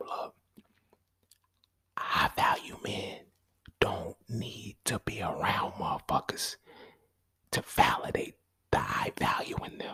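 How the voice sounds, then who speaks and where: This is a raspy, put-on character voice. It moves at a fairly slow pace. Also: man. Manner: whispering.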